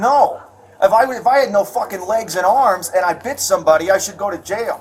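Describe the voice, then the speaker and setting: A man with a Chicago accent speaks at a high pitch with ordinary pitch variation. Noticeable background noise is present. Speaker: assault victim speaking to police. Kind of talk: casual talk with police after incident. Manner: agitated.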